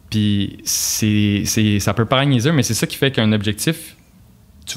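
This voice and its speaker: A man speaks in an ordinary speaking voice. His pitch is fairly low, with ordinary pitch variation. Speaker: university student. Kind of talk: casual podcast chat. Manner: relaxed, conversational with filler words.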